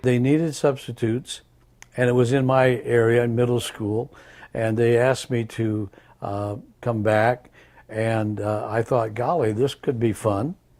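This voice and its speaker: Here a man speaks with a Midwestern American accent. His pitch is medium. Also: fairly even intonation, fairly slow pace. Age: 80s+. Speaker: retired teacher, substitute teacher. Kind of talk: interview answer.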